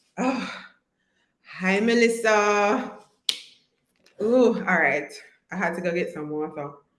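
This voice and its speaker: A woman speaks at a very slow pace, pausing long and often. Room echo is audible. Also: medium pitch for a woman, lively intonation. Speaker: online course coach. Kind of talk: live stream chat. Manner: animated.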